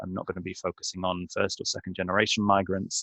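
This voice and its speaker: A man with a British accent. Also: dry, close sound with no echo. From Britain. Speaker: trainer. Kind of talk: webinar presentation. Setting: online webinar. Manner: halting.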